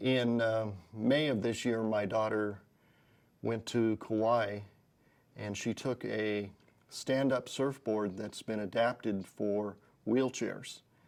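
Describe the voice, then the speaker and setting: A man at medium pitch, very slow and fairly even in intonation, with long, frequent pauses on a very clean recording against a silent background. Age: 60s. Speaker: gym client giving a testimonial. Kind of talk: testimony. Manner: halting.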